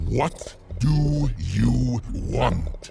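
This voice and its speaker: Growling, a man performs a put-on character voice. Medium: game stream. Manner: pompous, easily flustered.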